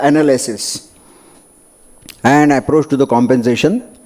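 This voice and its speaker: A man speaks at a moderate pace. He has an Indian accent. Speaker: doctor and medico-legal speaker. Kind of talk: conference lecture. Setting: conference hall with audience.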